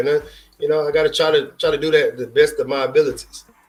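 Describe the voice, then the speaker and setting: Someone with a Houston accent speaks at a very fast pace over music in the background. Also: man. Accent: Houston Texas twang. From Houston, Texas. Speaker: sports streamer. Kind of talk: live stream sports commentary. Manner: casual, with many fillers.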